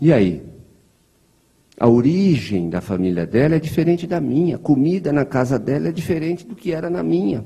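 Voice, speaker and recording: With a rural Brazilian accent, a man speaks at a moderate pace in a fairly high, somewhat breathy voice of dark, mellow tone, swinging very widely in pitch. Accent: Brazilian countryside (interior). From interior of São Paulo state, Brazil. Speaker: spiritist lecturer. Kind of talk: lecture. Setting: spiritist center hall, streamed online. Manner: conversational.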